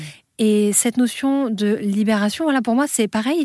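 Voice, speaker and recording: A woman speaks at a high pitch and a moderate pace, with ordinary pitch variation. The recording is very clean and dry, close with no echo, over a silent background. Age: 30s. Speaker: spiritual author. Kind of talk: interview.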